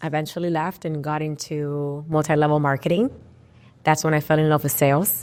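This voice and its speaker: This woman has a Spanish accent and a very deep, low pitch. She talks at a fairly quick pace with monotone, flat intonation. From Puerto Rico. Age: 30s. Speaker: real estate agent. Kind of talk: casual interview.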